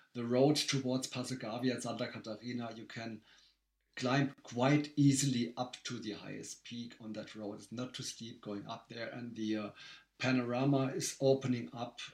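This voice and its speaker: Speaking at a moderate pace, a man uses a medium pitch and fairly even intonation. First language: German. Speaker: race director. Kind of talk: casual chat. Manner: halting.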